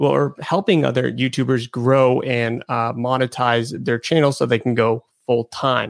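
A man with medium pitch and an ordinary speaking voice, at a moderate pace. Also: dry, close sound with no echo. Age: 20s. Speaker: YouTuber and YouTube educator. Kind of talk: casual interview conversation.

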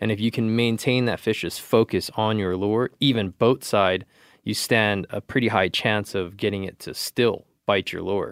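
A man with an unremarkable speaking voice, fairly low in pitch, with fairly even intonation and a fairly slow pace, dry and close with no echo, on a very clean recording with a silent background. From California. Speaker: angler. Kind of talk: casual chat.

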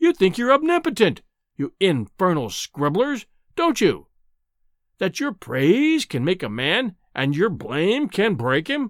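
A put-on character voice from a man, high in pitch with very wide pitch swings and a slow pace, on a very clean recording with a silent background.

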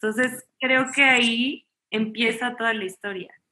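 Bright and sharp in tone, a woman speaks with fairly high pitch and fairly even intonation. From Mexico, Chihuahua. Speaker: chef and family sciences student. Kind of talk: conference interview.

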